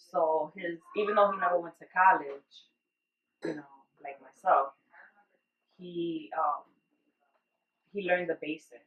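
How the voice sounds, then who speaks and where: A woman with a Spanish accent, fairly low in pitch, at a moderate pace and with ordinary pitch variation. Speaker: parent, college student. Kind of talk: interview. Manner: halting.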